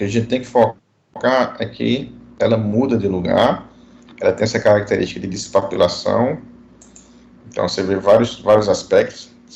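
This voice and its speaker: A man speaks with long, frequent pauses, and the room echo is audible. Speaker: dentistry professor. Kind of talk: online lecture. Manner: fast.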